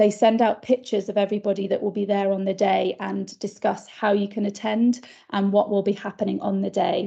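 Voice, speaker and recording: A woman with vocal fry speaks at a medium pitch and a fairly quick pace, her dark, mellow tone held in a flat monotone with hardly any pauses. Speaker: primary care practitioner. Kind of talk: conference presentation.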